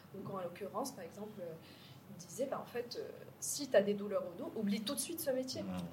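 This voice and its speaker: A woman with lively intonation, big swings in loudness, long and frequent pauses, audible room echo, and noticeable background noise. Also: medium pitch for a woman. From Morocco, Casablanca. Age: 30s. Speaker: startup co-founder. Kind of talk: interview.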